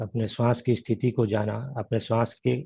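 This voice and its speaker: With fairly even intonation, the voice sounds somewhat breathy and carries a dark, mellow tone. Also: man. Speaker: meditation teacher. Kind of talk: guided meditation. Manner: gentle; slow.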